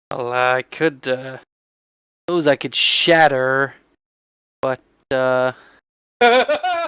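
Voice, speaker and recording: A man's put-on character voice, medium in pitch, mumbling at a very slow pace with long, frequent pauses. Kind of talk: quiet, halting. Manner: mumbling under breath.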